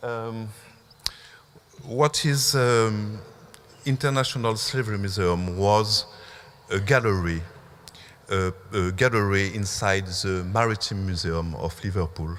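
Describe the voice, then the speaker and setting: A man speaks with a French accent. His delivery has long, frequent pauses. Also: fairly low pitch for a man, ordinary pitch variation. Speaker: museum curator. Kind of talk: symposium talk. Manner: halting, many fillers.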